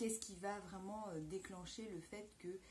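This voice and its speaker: Against light background noise, a woman speaks at a fairly slow pace, somewhat breathy, with a dark, mellow tone. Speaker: vlogger answering a viewer question. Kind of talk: casual vlog chat. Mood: calm, reflective. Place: home room. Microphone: handheld.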